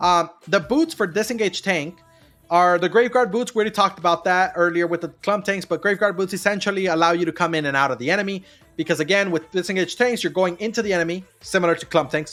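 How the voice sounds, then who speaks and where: A high-pitched man talks at a very fast pace with ordinary pitch variation. Music plays in the background. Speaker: video game guide streamer. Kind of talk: livestream tutorial. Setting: live stream with chat. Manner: repetitive, hesitant with fillers.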